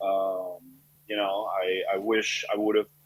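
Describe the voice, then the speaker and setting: A man's monotone, flat delivery at a moderate pace. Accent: Spanish. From Colombia. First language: Spanish. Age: 30s. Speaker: chef and restaurant owner. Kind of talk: interview.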